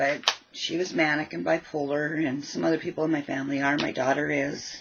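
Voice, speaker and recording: Mumbling at a moderate pace, a woman talks in a very deep, low voice with fairly even intonation. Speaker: crafting vlogger. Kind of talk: casual craft vlog chat.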